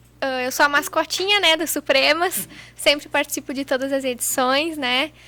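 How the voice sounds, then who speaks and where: A raised, projected voice with a bright, sharp tone, moderate pace and ordinary pitch variation. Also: woman, high pitch for a woman. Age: 20s. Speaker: rodeo lasso competitor. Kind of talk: podcast interview. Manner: casual, conversational.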